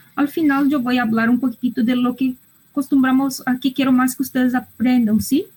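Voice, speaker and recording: The speaker is a woman. She talks with a non-native accent. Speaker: psychologist and medical school lecturer. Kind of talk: online lecture. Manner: halting, with hesitations and repetitions.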